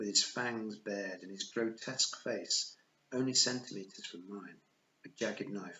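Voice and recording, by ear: The speaker is reading aloud. It is done in a natural voice.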